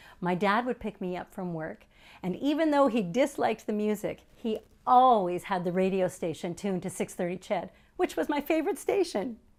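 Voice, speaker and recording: Speaking with a Canadian accent at a moderate pace, a woman lets her pitch swing very widely. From Canada, Edmonton. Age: 60s. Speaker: performer. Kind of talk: stage monologue.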